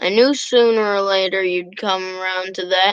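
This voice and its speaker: A rumbling put-on character voice at a moderate pace. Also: woman, medium pitch for a woman. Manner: grumbling.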